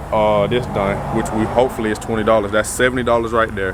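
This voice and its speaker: At a fairly quick pace and medium pitch, a man talks with fairly even intonation against noticeable background noise. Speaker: vlogger. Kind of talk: casual vlog monologue.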